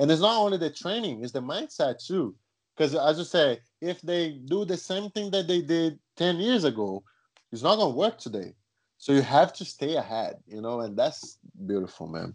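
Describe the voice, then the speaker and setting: A man with a Brazilian accent, fairly high pitch, very wide pitch swings, a moderate pace, and a quiet background. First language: Portuguese. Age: young. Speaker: jiu-jitsu world champion. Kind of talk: casual interview conversation.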